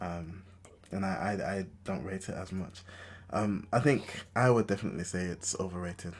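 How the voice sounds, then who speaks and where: In a London accent, a man speaks at a very deep, low pitch. His intonation is fairly even and his pace moderate. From London (Enfield, North London). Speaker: podcast host. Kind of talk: casual chat.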